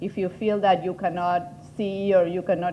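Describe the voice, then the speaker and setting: A woman speaks with an Argentine accent. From Argentina. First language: Spanish. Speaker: patient advocate and foundation head. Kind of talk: workshop presentation. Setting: conference room with audience.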